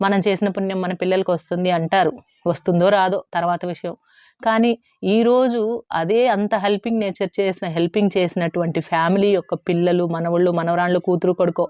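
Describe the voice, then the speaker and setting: Here a woman at a medium pitch has an ordinary speaking voice and fairly even intonation. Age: 40s. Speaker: YouTuber on savings and household finance. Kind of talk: casual advice monologue to viewers.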